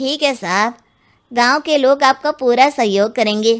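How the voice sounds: Using a cartoonish character voice pitched high, a woman speaks at a moderate pace in a very clean recording with a silent background.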